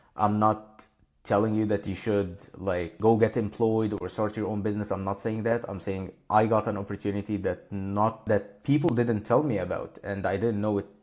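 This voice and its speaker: A man speaks in a fairly low voice with a non-native accent, hardly pausing and keeping his intonation fairly even. The recording is very clean, with a silent background. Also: moderate pace. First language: not English. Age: 20s. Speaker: insurance broker. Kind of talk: slide presentation talk. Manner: casual.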